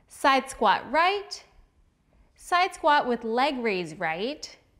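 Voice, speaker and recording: Very slowly, a woman speaks in a high pitch with a bright, sharp tone. Her pitch swings very widely against a quiet background. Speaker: fitness instructor. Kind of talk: workout tutorial intro.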